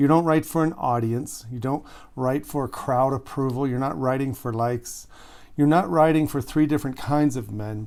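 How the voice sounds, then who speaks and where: An ordinary speaking voice with ordinary pitch variation, on a very clean recording with a silent background. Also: man, medium pitch for a man, moderate pace. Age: 60s. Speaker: relationship coach. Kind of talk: direct-to-camera monologue. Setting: home recording studio in a shed. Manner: conversational, earnest.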